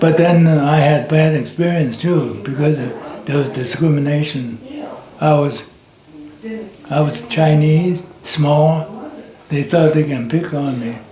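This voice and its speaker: A man talks at a very slow pace with ordinary pitch variation over noticeable background noise. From China. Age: 80s+. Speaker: war veteran. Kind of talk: interview answer.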